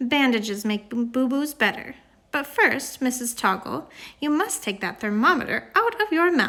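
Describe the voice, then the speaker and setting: A woman's high put-on character voice with very wide pitch swings. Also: moderate pace. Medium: read story. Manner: stern, brisk.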